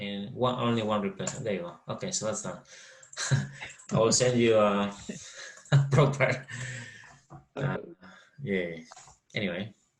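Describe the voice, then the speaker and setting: With a Spanish accent and lively intonation, a man speaks at a moderate pace, taking long, frequent pauses, in a room with audible echo. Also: medium pitch for a man. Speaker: finance trainer. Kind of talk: online training session. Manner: halting.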